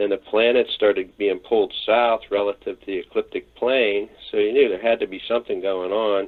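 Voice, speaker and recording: A man at a moderate pace with hardly any pauses. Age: 60s. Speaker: YouTuber and end-times watcher. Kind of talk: interview. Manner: hesitant, many fillers.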